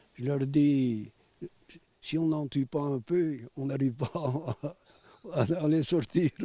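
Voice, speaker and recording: The voice has a dark, mellow tone and fairly even intonation, moving at a very slow pace with long, frequent pauses in a dry, close sound with no echo. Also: man, fairly high pitch for a man. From Savoie, Maurienne valley (French Alps). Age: 80s+. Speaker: villager. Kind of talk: street interview. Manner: halting.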